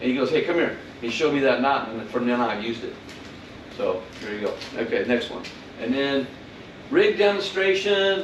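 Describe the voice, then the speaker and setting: Over noticeable background noise and audible room echo, the voice moves at a fairly quick pace with long, frequent pauses and very wide pitch swings. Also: man, fairly high pitch for a man. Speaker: fishing seminar presenter. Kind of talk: lecture.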